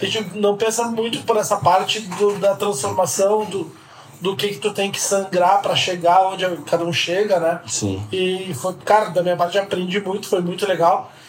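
The man's pitch is high and his intonation fairly even. He talks at a moderate pace over noticeable background noise. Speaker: podcast host. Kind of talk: casual interview.

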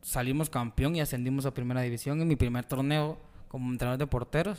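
A man at medium pitch with fairly even intonation, on a very clean recording with a silent background. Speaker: football goalkeeper and coach. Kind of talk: casual interview.

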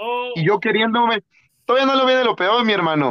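Recorded dry and close with no echo, a man speaks with lively intonation. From Mexico, Atlixco, Puebla. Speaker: professional wrestler. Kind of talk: interview.

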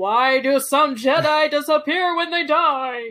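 The voice is a put-on character voice with a high pitch. It moves at a fairly slow pace. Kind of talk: game announcer style. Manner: booming, aggressive, all caps.

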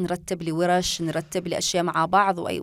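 A woman at medium pitch with a Yemeni accent, at a moderate pace. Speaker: podcast host. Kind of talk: casual chat. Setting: studio.

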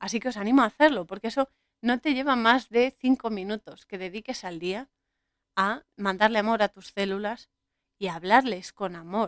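In a plain, everyday voice, a woman talks at medium pitch with ordinary pitch variation, recorded dry and close with no echo. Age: 30s. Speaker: podcast host. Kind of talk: solo podcast monologue on film and spirituality.

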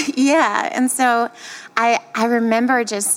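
This is a woman speaking with a Southern US accent. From US South. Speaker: singer-songwriter. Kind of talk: interview. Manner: halting.

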